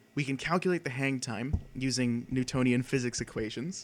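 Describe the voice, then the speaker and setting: At a moderate pace, a man talks in a normal speaking voice on a very clean recording with a silent background. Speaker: student club presenter. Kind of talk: presentation.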